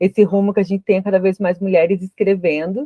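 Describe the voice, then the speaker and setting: Fairly quick in pace, a woman's dark, mellow voice comes through with a dry, close sound and no echo. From interior of Santa Catarina, Brazil. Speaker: podcast host. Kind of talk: interview.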